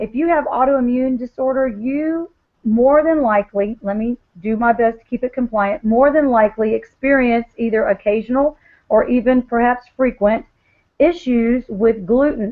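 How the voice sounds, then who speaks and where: Her voice sits high, with ordinary pitch variation. The woman keeps a moderate pace. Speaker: wellness product seller. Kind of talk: sales presentation on video call. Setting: video call. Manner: animated.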